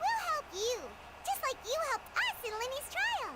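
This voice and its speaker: Squeaky and pitched extremely high, the voice is clearly a put-on. It plays a character rather than a natural speaking voice. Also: moderate pace. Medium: video game.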